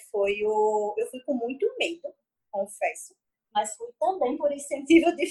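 Lively intonation marks this woman's speech. She talks at a fairly slow pace. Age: 20s. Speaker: CrossFit athlete and nutritionist. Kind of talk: casual interview chat.

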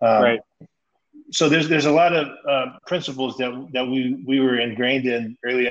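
Speaking at a fairly quick pace, a man with an American accent keeps a medium pitch and fairly even intonation. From Stockton, California. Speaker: former pro basketball player. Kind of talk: casual chat.

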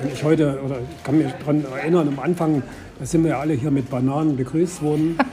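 With noticeable background noise, a man talks at a very fast pace and a fairly high pitch, his intonation fairly even. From Saxony. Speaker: city tour guide and restorer. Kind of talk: casual interview.

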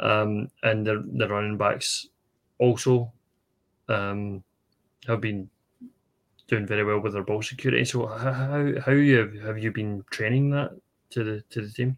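A man with a Scottish accent speaks fairly slowly at a fairly low pitch, with long, frequent pauses. His intonation stays fairly even. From Scotland. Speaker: podcast co-host. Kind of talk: interview.

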